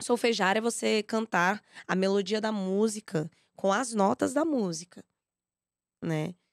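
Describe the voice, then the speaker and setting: Long, frequent pauses break up a woman's fairly slow speech, her pitch varying in an ordinary way. The sound is dry and close, with no echo. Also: medium pitch for a woman, very clean recording, silent background. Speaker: singer and music educator. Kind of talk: podcast interview.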